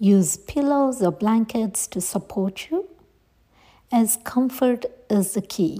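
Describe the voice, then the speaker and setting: A woman's somewhat breathy voice with a dark, mellow tone and a warm, soothing tone, at a very slow pace. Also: fairly high pitch for a woman, ordinary pitch variation. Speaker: meditation guide. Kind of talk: guided meditation. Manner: soft, slow and soothing, gently instructing; warm and encouraging, with pauses between cues.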